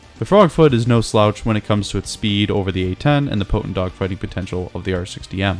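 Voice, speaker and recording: With music in the background, a man speaks at a very fast pace and a fairly low pitch, with ordinary pitch variation. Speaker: gaming YouTuber. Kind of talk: game commentary narration.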